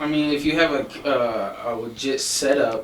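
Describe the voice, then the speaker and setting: With an American accent and ordinary pitch variation, a man speaks amid audible room echo and noticeable background noise. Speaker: podcast co-host. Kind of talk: casual chat.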